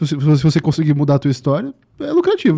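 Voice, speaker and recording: At a very fast pace, a man speaks at a fairly high pitch with a dark, mellow tone. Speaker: podcast guest, digital marketer. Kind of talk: podcast interview. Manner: repetitive, stammering.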